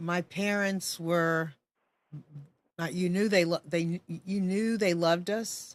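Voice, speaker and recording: Fairly low in pitch, a woman speaks slowly-ish with fairly even intonation at a fairly slow pace. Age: 60s. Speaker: talk show host. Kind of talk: interview conversation.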